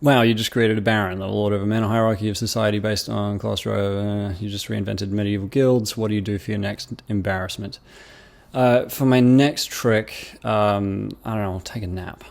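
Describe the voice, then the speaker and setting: Speaking with an Australian accent at a moderate pace, a man holds a fairly low pitch and fairly even intonation. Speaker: YouTuber. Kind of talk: casual commentary reading comments. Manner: hesitant, many fillers.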